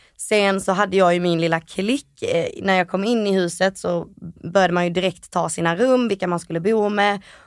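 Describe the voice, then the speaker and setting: At a moderate pace, a woman talks in a plain, everyday voice of medium pitch with fairly even intonation. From Malmö, Sweden. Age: 20s. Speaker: reality TV contestant. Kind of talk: interview. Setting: studio.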